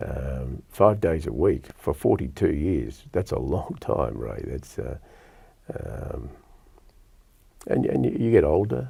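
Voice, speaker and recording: A man speaks with an Australian accent in a very deep, low pitch. His pace is very slow, with long, frequent pauses. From Melbourne, Australia (Lalor). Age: 60s. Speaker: radio presenter. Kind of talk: casual chat. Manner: hesitant.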